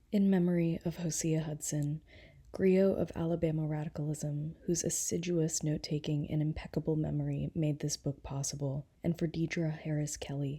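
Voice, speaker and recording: A woman speaks at a moderate pace in a very deep, low voice with a dark, mellow tone and a somewhat breathy quality. Her intonation is monotone and flat, and the recording is very clean with a silent background. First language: non-native English speaker. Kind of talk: audiobook reading.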